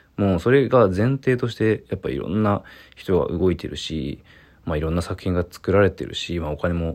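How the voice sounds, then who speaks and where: Against a quiet background, a man with vocal fry speaks at a moderate pace, his pitch swinging very widely. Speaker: visual artist. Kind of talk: solo voice memo monologue.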